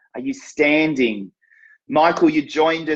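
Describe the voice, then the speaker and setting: Delivered at a fairly slow pace with ordinary pitch variation, this is an ordinary speaking voice. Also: man. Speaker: fitness marketing coach, live show host. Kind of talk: live stream talk to viewers. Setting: live stream on social media.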